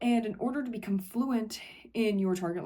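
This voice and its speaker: Her tone dark and mellow, a woman speaks with an American accent. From Ohio, USA. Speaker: English teacher. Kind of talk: casual educational talk to camera.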